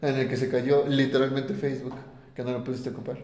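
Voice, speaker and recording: A man talks very fast in a fairly high pitch. The room echoes audibly, and there is noticeable background noise. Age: 20s. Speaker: podcast co-host. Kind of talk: casual chat.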